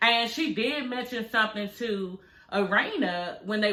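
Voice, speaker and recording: Speaking in an American accent, a woman uses an animated tone at a medium pitch. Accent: DC accent, some call it heavy. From Washington DC. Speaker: reality TV recap commentator. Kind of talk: casual recap commentary. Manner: animated, conversational.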